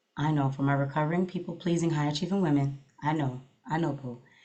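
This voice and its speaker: Here a woman speaks with an American accent. Her pitch is very deep and low, with ordinary variation. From New York, until age twelve. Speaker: therapist and podcast host. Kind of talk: casual advice talk. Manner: animated, lots of mm-hmms.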